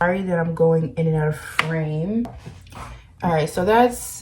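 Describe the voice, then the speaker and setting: The speech is quiet, with noticeable background noise. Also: woman. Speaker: beauty vlogger. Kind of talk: makeup tutorial. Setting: at home. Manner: quiet, low volume.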